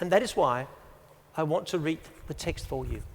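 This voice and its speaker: Using very wide pitch swings, a man talks in a Danish accent. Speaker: teacher and conference speaker. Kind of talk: conference talk.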